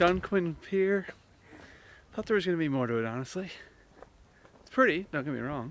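Light background noise sits behind the man. His audio is dry, without any echo. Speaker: travel vlogger. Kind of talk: casual vlog chat. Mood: relaxed, cheerful. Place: open country. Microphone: phone near.

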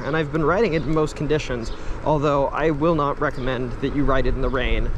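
A man talking at a very fast pace with ordinary pitch variation, dry and echo-free, over noticeable background noise. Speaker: commuter vlogger. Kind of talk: casual vlog chat. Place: street. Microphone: phone near.

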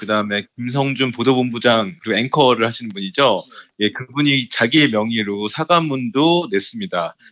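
A man with a plain, everyday voice, medium pitch, lively intonation, and a moderate pace. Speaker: newspaper reporter. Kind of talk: political news discussion.

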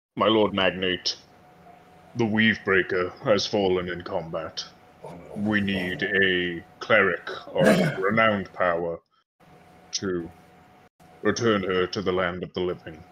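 This put-on character voice moves at a fairly slow pace with fairly even intonation and long, frequent pauses. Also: man, very deep, low pitch for a man. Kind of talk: old-fashioned formal speech. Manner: stiff, formal, courteous.

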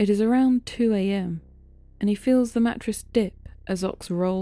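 Someone reads in a natural voice whose pitch varies in an ordinary way.

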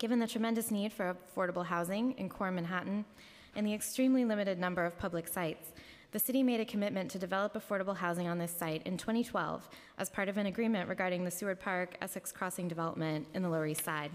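Speaking very quickly, a woman keeps her pitch moving in an ordinary way. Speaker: city housing agency official. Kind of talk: formal testimony at public hearing. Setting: council chambers hearing room. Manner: frequent fillers, somewhat halting. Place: hall. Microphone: podium.

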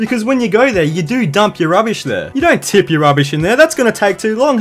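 Over music in the background, a man with an Australian accent speaks in a high voice with very wide pitch swings. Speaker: comedy YouTuber. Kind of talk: comedic rant to camera. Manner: crude, profane, jokey.

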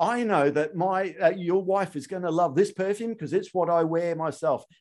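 Against a quiet background, a man talks in a high pitch. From Australia. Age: 40s. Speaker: sales trainer and podcast host; sales trainer, podcast host. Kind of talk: interview podcast. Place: studio. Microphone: studio mic.

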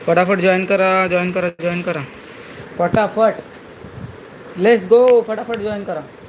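Noticeable background noise behind a man's high-pitched voice with fairly even intonation. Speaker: gaming streamer. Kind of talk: live gaming stream commentary.

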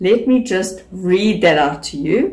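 A woman's somewhat breathy voice at a very slow pace against a quiet background. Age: 40s. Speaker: beauty YouTuber. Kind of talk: vlog talk to camera. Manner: animated. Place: home room. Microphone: phone near.

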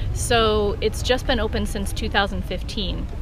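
A woman speaks at a moderate pace in a dry sound with no echo, though noticeable background noise is present. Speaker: family travel vlogger. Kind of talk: casual vlog chat. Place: open country. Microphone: phone near.

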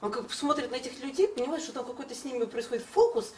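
A woman speaks in a high pitch with very wide pitch swings. Light background noise is present. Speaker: acting trainer. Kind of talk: panel discussion. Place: meeting room. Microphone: camera far.

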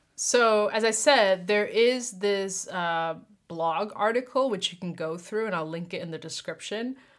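Speaking at a fairly slow pace, a woman shows big swings in loudness. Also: ordinary pitch variation, quiet background. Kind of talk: casual tutorial talk. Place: home room.

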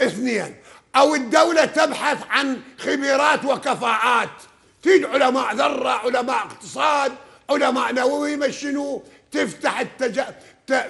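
Over a quiet background, a man with an extremely high pitch speaks very slowly with fairly even intonation. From Iraq. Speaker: legal expert. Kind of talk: heated debate. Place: studio. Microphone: lapel.

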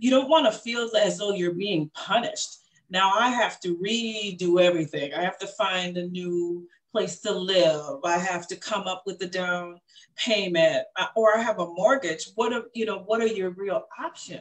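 A woman with an ordinary speaking voice talks at a moderate pace and medium pitch, with ordinary pitch variation. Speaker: domestic violence advocate and grassroots organization founder. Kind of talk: panel discussion. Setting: online webinar, video call.

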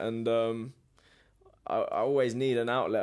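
Against a quiet background, a man talks at a medium pitch. His intonation stays fairly even. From England. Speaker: professional boxer; podcast guest. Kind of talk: casual interview. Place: studio. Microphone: studio mic.

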